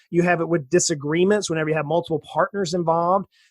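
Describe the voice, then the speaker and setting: A man with an American accent speaks at a high pitch, his intonation fairly even and the sound dry and close with no echo. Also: very clean recording, silent background. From US South, south Georgia. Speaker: financial planner. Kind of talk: interview.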